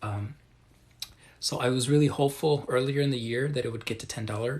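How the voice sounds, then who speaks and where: A soft-spoken man whispers. He talks at a fairly quick pace. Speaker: crypto livestreamer. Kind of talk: live stream Q&A. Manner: soft-spoken, near whisper.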